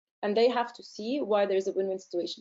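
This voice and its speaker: A woman's fairly high voice in an Arabic accent. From Egypt. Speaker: research centre director and scientist. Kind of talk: webinar Q&A. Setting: online webinar. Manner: hesitant, many fillers.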